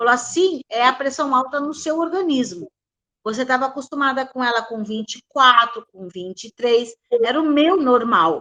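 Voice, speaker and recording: A woman speaks in a raised, projected voice with a high pitch and a bright, sharp tone. Her loudness swings widely, her intonation is lively, and her pace is moderate. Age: 70s. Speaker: participant sharing health experience. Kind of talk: testimony.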